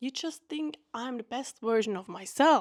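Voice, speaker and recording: A woman in a non-native accent, fairly high pitch, lively intonation, fairly slow pace, dry, close sound with no echo, very clean recording, silent background. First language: not English. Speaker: vlogger. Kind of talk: casual monologue. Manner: unscripted, halting at times.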